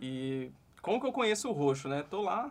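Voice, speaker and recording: An ordinary speaking voice from a man, fairly high in pitch, at a moderate pace. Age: 30s. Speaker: digital marketing podcast host. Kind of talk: interview. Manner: casual.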